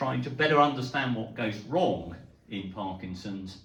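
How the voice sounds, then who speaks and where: A man with a British accent speaks at medium pitch with ordinary pitch variation, recorded with audible room echo and noticeable background noise. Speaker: neurologist. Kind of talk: lecture. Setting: talk to a live audience. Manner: hesitant, with fillers.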